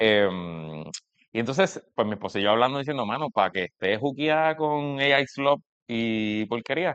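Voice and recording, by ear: A man speaks with lively intonation. His tone is fairly bright, clear and smooth. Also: medium pitch for a man, moderate pace.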